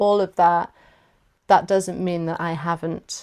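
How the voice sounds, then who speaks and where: A woman is talking at a moderate pace. Her pitch is fairly low. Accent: South Welsh. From South Wales. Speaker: workshop facilitator. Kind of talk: workshop discussion. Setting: video call.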